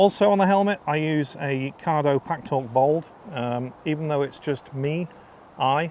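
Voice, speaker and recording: A man with a Lancashire accent talks at a fairly slow pace with ordinary pitch variation. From northern England (North Lancashire). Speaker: motorcycle vlogger. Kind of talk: casual vlog review. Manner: casual, many fillers.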